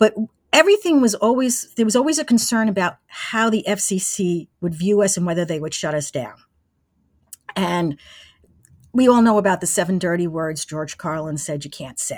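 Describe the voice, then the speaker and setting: At a moderate pace, a woman with a normal speaking voice talks at medium pitch with lively intonation. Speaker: former college radio engineer and broadcaster. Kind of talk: interview.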